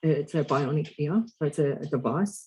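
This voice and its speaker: A man's fairly high-pitched, dark, mellow voice, somewhat breathy. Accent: Australian. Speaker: deaf actor. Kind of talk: podcast interview.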